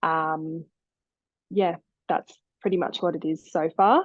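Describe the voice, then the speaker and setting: Fairly even intonation in an Australian accent, against a quiet background. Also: woman. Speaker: osteopath. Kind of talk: podcast interview. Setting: remote call.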